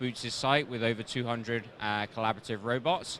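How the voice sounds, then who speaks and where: Noticeable background noise surrounds the man, whose medium-pitched voice keeps a fairly even intonation. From UK. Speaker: robotics company presenter. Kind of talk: trade show presentation. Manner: hesitant, many fillers.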